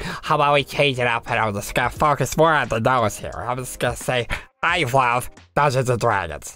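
In a put-on character voice that is raspy and nasal, the speaker goes at a moderate pace with ordinary pitch variation. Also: man, medium pitch for a man. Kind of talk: improvised character voices.

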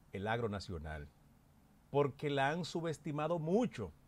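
A man with a Dominican accent speaks fairly slowly at a fairly high pitch. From Dominican Republic, Constanza; Dominican Republic. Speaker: political commentator. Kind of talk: panel commentary. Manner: emphatic, oratorical. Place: studio. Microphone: studio mic.

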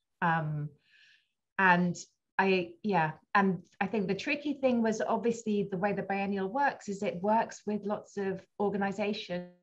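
A woman speaks fairly slowly in a somewhat breathy voice with ordinary pitch variation. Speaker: arts organisation director. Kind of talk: panel presentation. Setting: video call. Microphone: video call.

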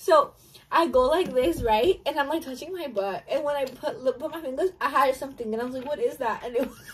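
A woman talks at a high pitch and a fairly quick pace, her intonation lively. Her loudness swings widely. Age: 20s. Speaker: exotic dancer; storyteller. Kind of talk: casual storytime chat. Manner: laughing. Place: home room. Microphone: phone near.

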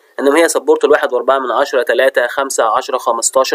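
The voice has an Egyptian accent and a dry, close sound with no echo. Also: man. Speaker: university lecturer. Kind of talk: lecture.

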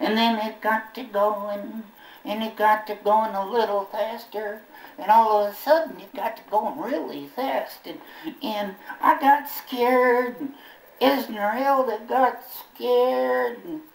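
Using a cartoonish character voice, a man speaks high for a man at a fairly slow pace. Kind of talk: ventriloquist comic patter. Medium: puppet show. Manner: folksy, rambling, comically put-upon.

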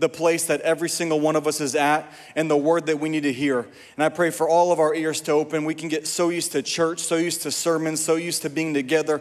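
The voice stays flat and monotone throughout. It rushes along at a very fast pace. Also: man. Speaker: preacher. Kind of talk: prayer before sermon. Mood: earnest, fervent. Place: church. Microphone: handheld.

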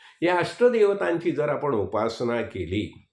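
A man with a fairly high pitch and vocal fry speaks with very wide pitch swings. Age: 70s. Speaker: spiritual teacher. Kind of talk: religious discourse.

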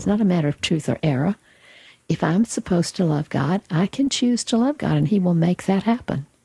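A woman talks fairly quickly at a fairly low pitch, her tone dark and mellow and somewhat breathy. Her intonation is lively, and the sound is dry and close with no echo. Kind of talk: spiritual teaching conversation.

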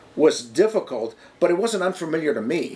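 Here is a man with an American accent. His intonation is lively. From Madison, Wisconsin. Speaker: television producer. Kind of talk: interview answer. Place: office. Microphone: lapel.

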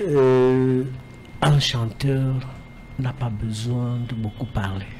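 A man's slightly mellow tone at a medium pitch, slow pace and ordinary pitch variation, with faint background noise

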